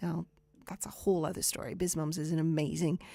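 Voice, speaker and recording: In a very clean recording with a silent background, a woman talks with a Canadian accent and fairly even intonation. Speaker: radio show host for indie authors. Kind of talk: live show chat, book reviews. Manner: hesitant, with fillers and repeats.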